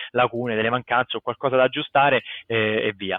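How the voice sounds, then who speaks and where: A man is speaking. His pace is fairly quick. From Italy, Rome. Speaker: comic book artist. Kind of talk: casual interview. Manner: animated.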